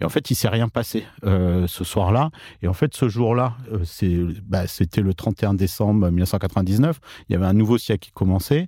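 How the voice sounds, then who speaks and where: Fairly low-pitched male voice with ordinary pitch variation, dry and close with no echo, on a very clean recording with a silent background. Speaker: author and mathematician. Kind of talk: interview. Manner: halting.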